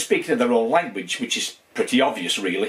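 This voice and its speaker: A man talks in a strong Lancashire accent. His pitch swings very widely. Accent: strong Wigan. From northern England, Wigan. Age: 60s. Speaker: YouTuber exploring military fortifications. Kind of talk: casual vlog update. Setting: home man cave. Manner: fast; hesitant, many fillers.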